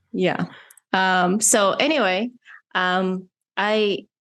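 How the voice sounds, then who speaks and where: A woman with a non-native accent against a quiet background. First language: not English. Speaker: podcast host and filmmaker. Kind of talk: casual interview chat. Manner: halting, many fillers.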